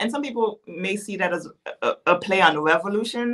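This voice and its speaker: Her intonation is lively as the woman speaks at a fairly quick pace. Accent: Haitian. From Haiti. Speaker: policy advocate and author. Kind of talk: interview conversation.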